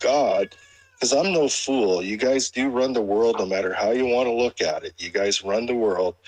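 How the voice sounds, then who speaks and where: The man's voice sits at a medium pitch and moves with lively intonation. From Canada. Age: 60s. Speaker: caller in a live audio chat room. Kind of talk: casual chat. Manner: halting, many repeated words.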